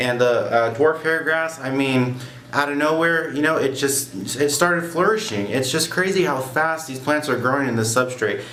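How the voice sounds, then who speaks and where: At a moderate pace, a man talks with a fairly high pitch and ordinary pitch variation. Noticeable background noise and audible room echo are present. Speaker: aquarium hobbyist vlogger. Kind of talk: casual product review. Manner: loud; casual with many fillers.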